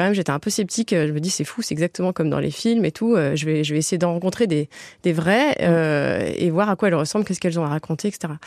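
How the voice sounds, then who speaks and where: A woman speaks at a very fast pace. Her pitch is fairly low, and the background is quiet. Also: ordinary pitch variation. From Toulouse, southern France. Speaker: journalist and author. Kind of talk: radio interview.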